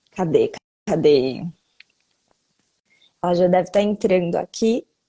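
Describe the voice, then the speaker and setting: A woman talks at a fairly slow pace with a medium pitch. Her tone is dark and mellow, with ordinary pitch variation. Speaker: live stream host. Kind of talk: casual live chat.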